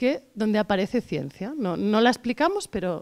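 Against a quiet background, a woman speaks at a fairly quick pace. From Catalonia, Barcelona. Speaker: science communicator, company director; interviewee. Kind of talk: interview. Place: hall. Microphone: handheld.

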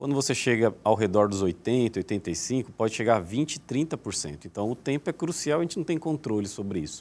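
Speaking at a moderate pace, a man's voice moves through very wide pitch swings. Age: 40s. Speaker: neurosurgeon; guest. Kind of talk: TV interview. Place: studio. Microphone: lapel.

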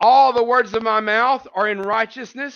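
A man's extremely high, fairly bright voice, fairly slow, with fairly even intonation

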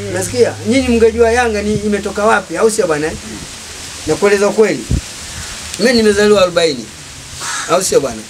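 Amid noticeable background noise, a high-pitched man speaks at a moderate pace with ordinary pitch variation and long, frequent pauses. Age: 80s+. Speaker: football fan. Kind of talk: casual chat. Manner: animated. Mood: lively storytelling. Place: home room. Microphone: handheld.

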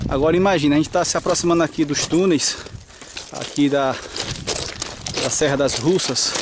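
This man's voice comes through dry, with no echo, over noticeable background noise. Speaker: hiking trail guide. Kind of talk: casual vlog commentary. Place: open country. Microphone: phone near.

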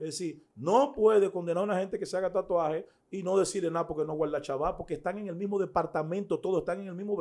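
The speech comes at a very fast pace. Its tone is dark and mellow. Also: man. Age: 40s. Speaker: pastor; pastor, interview guest. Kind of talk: interview. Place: studio. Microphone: studio mic.

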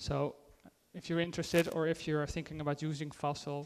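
A man's fairly high voice with a Dutch accent, at a moderate pace. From Netherlands. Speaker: IT consultant and conference speaker; conference speaker. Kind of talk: conference talk; tech talk presentation. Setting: stage with audience. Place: hall.

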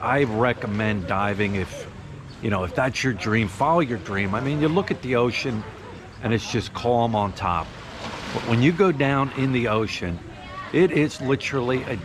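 Noticeable noise fills the background. Through it a man talks at a moderate tempo. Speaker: diving vlogger. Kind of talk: casual vlog chat. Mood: relaxed, enthusiastic. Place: street. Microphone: phone near.

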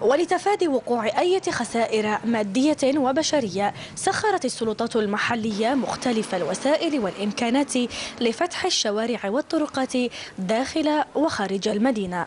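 Very wide pitch swings at a fairly slow pace, loudness very even, with noticeable background noise. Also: woman, high pitch for a woman. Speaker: news reporter. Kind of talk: news report narration.

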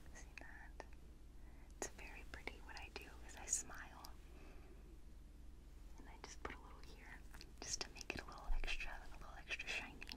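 A woman at a moderate pace, with long, frequent pauses. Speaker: ASMR creator. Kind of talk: ASMR personal attention roleplay. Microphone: studio mic.

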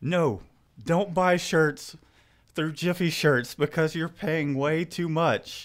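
Against a quiet background, the speech unfolds at a fairly slow pace. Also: man. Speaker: host. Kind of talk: casual live show chat. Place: home room. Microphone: studio mic.

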